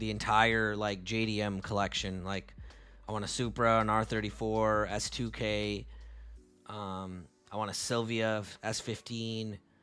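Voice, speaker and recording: Over music in the background, a man speaks at a fairly low pitch with fairly even intonation. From Canada, Tamil-speaking family. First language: Tamil. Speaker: forex trader and live streamer. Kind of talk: live stream chat and market analysis. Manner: casual, relaxed.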